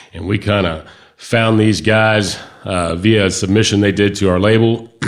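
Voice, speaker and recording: With a slight Kentucky accent, a man speaks at a moderate pace, his fairly low voice holding a fairly even intonation. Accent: slight Kentucky Southern. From Michigan. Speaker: record label interviewer. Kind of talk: interview. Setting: studio.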